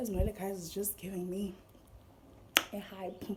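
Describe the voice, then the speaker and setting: There is audible room echo and noticeable background noise behind this woman. She talks at a moderate pace with a medium pitch. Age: 20s. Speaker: vlogger. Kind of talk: casual vlog talk. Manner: animated.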